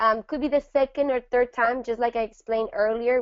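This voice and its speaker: A woman's fairly high voice with a Spanish accent and ordinary pitch variation. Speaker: network marketing trainer. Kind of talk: training presentation.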